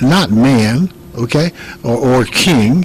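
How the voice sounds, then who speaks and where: Here is a man speaking with an American accent at medium pitch. Background noise is noticeable. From Chicago, Illinois. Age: 60s. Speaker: congressional candidate. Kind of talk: political interview. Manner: halting, many fillers and repeats.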